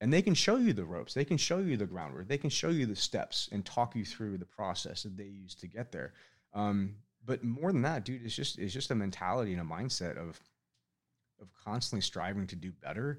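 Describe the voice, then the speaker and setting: Lively intonation marks this man's fairly quick speech in an American accent. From Northern California. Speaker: business owner, Navy veteran. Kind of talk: casual interview chat.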